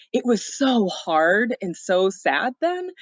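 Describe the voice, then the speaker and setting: In a strong Minnesotan accent, a woman speaks with a fairly high voice. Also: dry, close sound with no echo. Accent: thick Minnesota. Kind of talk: casual chat.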